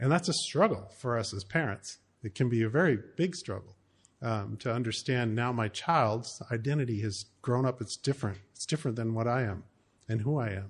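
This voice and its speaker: The voice is somewhat breathy, with an American accent and ordinary pitch variation. It moves at a moderate pace against a quiet background. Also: man, medium pitch for a man. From US Pacific Northwest, Seattle. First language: German. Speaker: trainer for parents. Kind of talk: workshop lecture. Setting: evening session with small group.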